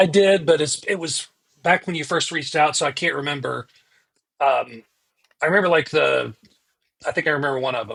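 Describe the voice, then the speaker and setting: A man at a fairly quick pace, fairly high-pitched with ordinary pitch variation, vocal fry and long, frequent pauses. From US South (Georgia, South Carolina). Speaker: pastor. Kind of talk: casual chat. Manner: halting.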